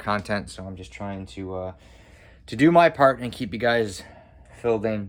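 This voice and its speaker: A man's fairly low-pitched voice with audible room echo. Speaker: cosplay maker, video creator. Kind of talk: casual vlog outro. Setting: garage. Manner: fast; hesitant, filler words.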